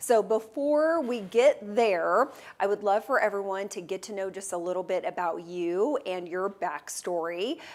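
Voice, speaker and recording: A normal speaking voice at a fairly slow pace, with lively intonation and hardly any pauses. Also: woman, medium pitch for a woman. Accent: American. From Texas. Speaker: real estate show host. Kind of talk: interview. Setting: studio.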